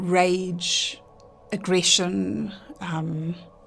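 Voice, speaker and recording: Against music in the background, a woman speaks at a very slow pace with a medium pitch. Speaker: handwriting analyst. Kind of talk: radio interview answer.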